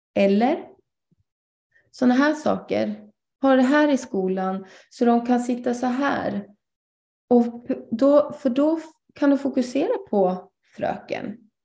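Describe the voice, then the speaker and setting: The speech is very slow, with long, frequent pauses and ordinary pitch variation. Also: woman, high pitch for a woman. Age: 30s. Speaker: ADHD coach. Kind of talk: guest lecture in online live session. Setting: online live broadcast.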